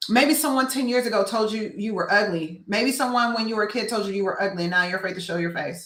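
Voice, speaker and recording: A woman talks at a very fast pace with hardly any pauses. Her voice is fairly high with ordinary pitch variation. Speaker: business coach and mentor. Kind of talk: motivational talk. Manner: loud.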